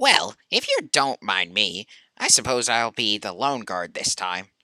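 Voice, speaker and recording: The speaker uses a put-on character voice with a low pitch. The pace is fairly slow. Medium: game stream.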